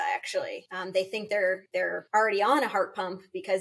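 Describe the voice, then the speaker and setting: In an American accent, a woman with a plain, everyday voice talks at a fairly quick pace, her medium pitch showing ordinary variation. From US South (Florida). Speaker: transplant social worker podcast host. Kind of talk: casual educational podcast chat.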